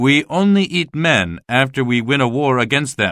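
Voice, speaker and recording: Using a put-on character voice, a man speaks at medium pitch and a moderate pace with lively intonation. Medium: read story.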